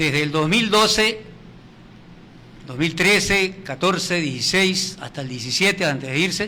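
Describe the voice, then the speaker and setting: This man has a high pitch. He talks at a fairly slow pace. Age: 70s. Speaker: retired heritage campaigner. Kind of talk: TV interview.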